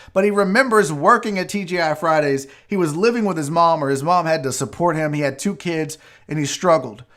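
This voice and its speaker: Talking at a fairly quick pace, a man sounds animated, his voice fairly high. The recording is very clean with a silent background. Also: lively intonation. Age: 40s. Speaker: sports talk show host. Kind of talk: casual live show chat.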